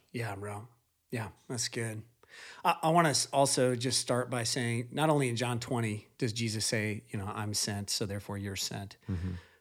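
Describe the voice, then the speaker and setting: Here a man uses an unremarkable speaking voice, medium in pitch with ordinary pitch variation, at a moderate pace. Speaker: podcast host. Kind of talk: casual chat.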